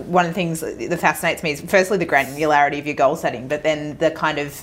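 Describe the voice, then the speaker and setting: With an Australian accent, a woman talks at a very fast pace in a very deep, low voice. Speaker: podcast host. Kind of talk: casual interview chat.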